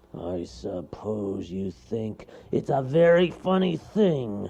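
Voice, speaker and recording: In a put-on character voice, a man growls his words at a very slow pace. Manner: growling, menacing, haughty.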